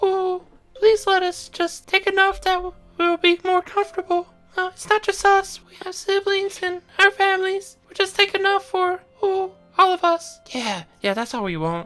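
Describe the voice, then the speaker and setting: Faint music plays in the background as a man does a put-on character voice at an extremely high pitch and a moderate pace. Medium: actual play. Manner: nervous, stammering.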